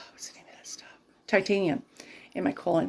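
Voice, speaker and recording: The voice carries vocal fry and a dark, mellow tone. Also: woman. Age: 60s. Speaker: lifestyle vlogger. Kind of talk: casual vlog chat. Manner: casual, rambling with fillers.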